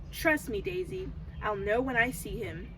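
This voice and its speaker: A put-on character voice with a fairly high pitch at a moderate pace over loud background noise. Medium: read story.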